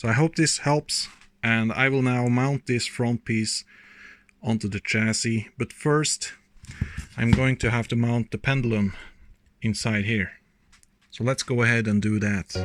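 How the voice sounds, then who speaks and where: Speaking in a Norwegian accent at a fairly slow pace with long, frequent pauses, a man keeps a medium pitch and fairly even intonation in a dry, close sound with no echo. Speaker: RC model builder. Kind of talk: tutorial.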